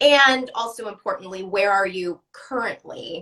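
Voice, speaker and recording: Lively intonation and a bright, sharp tone come from a woman speaking at a fairly slow pace. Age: 30s. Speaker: art gallery host. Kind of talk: live interview.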